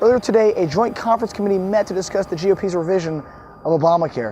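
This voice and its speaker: A man's high pitch and lively intonation at a very fast pace, with noticeable background noise. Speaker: sports and news reporter. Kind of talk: broadcast news and sports reporting.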